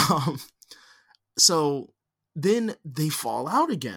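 A man's voice with lively intonation. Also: very clean recording, silent background. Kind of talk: casual chat.

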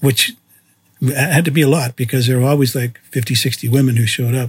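This man's medium-pitched voice is somewhat breathy, with a monotone, flat intonation. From Canada. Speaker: photographer and podcast host. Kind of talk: autobiographical storytelling monologue.

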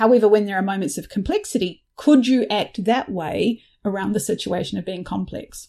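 With a New Zealand accent, the voice has a dark, mellow tone and lively intonation, moving at a moderate pace over a quiet background. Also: woman. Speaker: facilitator and business founder. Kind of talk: interview conversation.

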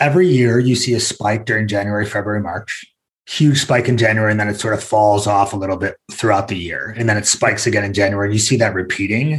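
At a very fast pace with hardly any pauses, a man with a fairly low, somewhat breathy voice speaks with ordinary pitch variation. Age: 40s. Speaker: e-commerce executive. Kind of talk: business interview.

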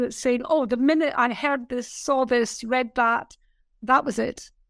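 High in pitch, a woman speaks at a moderate pace. The recording is very clean, with a silent background. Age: 70s. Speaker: business mentor. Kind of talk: casual interview.

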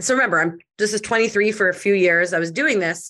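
A loud woman's voice, medium in pitch and bright and sharp in tone, at a very fast pace over a quiet background. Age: 30s. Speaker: social media entrepreneur. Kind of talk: casual interview. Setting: podcast recording.

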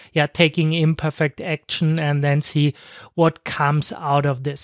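A non-native accent at a moderate pace on a very clean recording with a silent background. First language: not English. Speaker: podcast host, online marketer. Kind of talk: unscripted solo podcast monologue. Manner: halting, many fillers.

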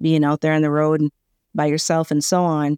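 A dark, mellow tone in a dry, close sound with no echo. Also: woman. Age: 60s. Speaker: trucking company founder and CEO. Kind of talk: interview.

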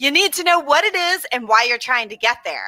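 A woman with an American accent and lively intonation, in a dry, close sound with no echo. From US South, Atlanta, Georgia. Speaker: marketing strategist. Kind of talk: podcast interview. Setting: live online stream.

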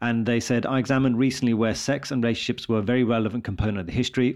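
A man with a British accent, medium pitch and fairly even intonation, talking at a very fast pace against a quiet background. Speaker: radiologist and podcast host. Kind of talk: casual chat.

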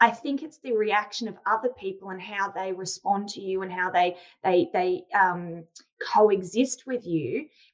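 Fairly slow speech from a woman with an Australian accent. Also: medium pitch for a woman, ordinary pitch variation. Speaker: sales trainer and founder. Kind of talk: interview conversation.

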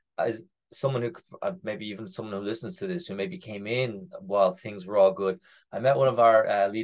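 A man with an Irish accent talks at a fairly quick pace over a quiet background. His fairly low pitch moves in very wide swings. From Ireland. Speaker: crypto startup co-founder. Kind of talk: casual interview.

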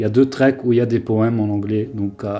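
In a monotone, flat delivery, a man at medium pitch speaks with a dark, mellow tone. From Lebanon, Beirut. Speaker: architect and ambient musician. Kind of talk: interview. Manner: halting.

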